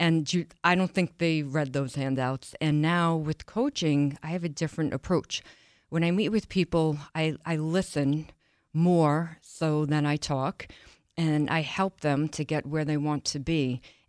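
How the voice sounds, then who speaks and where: Speaking with an American accent, a woman talks at a fairly slow pace in a very deep, low pitch, her intonation fairly even and her loudness very even, in a dry, close sound with no echo. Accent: Boston-like New York. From Long Island, New York. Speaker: wellness coach. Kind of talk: casual interview chat.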